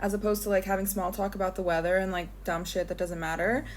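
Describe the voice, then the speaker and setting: A woman's medium-pitched voice with vocal fry, a flat monotone delivery and a very fast pace. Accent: American. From United States, left at twelve. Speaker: vlogger. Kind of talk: casual monologue. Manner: chatty, many fillers.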